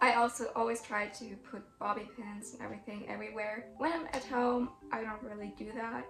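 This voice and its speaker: A woman with a German accent speaks at a moderate pace, her fairly high voice showing ordinary pitch variation. Music plays in the background, and the room echo is audible. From Germany. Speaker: cosplayer. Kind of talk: casual chat.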